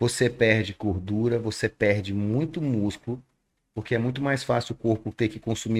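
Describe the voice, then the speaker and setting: Man in a plain, everyday voice with a medium pitch, ordinary pitch variation and a moderate pace, on a very clean recording with a silent background. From Rondônia, Brazil. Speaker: nutritionist and podcast host. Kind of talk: podcast interview. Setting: studio.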